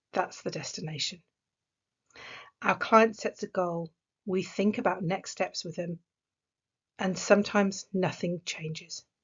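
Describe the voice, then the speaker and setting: Speaking in an English accent, a woman sounds somewhat breathy and keeps her intonation fairly even. Her pace is fairly slow, broken by long, frequent pauses. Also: medium pitch for a woman. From England. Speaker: executive coach. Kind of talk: recorded conference talk.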